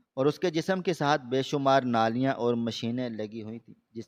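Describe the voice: The text is read aloud plainly, with ordinary pitch variation.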